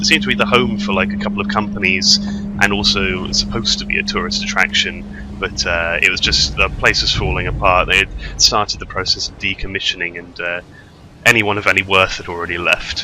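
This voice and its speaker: A man with a British accent talks at a very fast pace. Noticeable background noise sits behind him. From Britain. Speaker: gamer. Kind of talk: gameplay commentary. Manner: rambling, hesitant.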